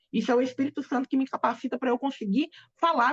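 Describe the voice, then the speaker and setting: A woman talks at a very fast pace in a high voice with a Brazilian accent. The sound is dry and close, with no echo. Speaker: pastor. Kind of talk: sermon. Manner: halting.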